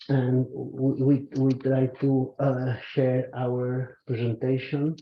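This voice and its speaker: With a Spanish accent, a man speaks at a very slow pace at a medium pitch, in a monotone, flat intonation. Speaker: government waste official. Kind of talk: conference presentation. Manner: halting.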